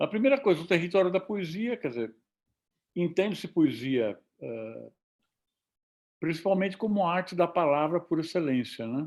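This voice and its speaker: On a very clean recording with a silent background, a man with a high pitch for a man talks at a moderate pace, with very wide pitch swings and long, frequent pauses. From interior of São Paulo state, Brazil. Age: 70s. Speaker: visual poet and professor. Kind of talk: academic panel talk. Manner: halting, many fillers.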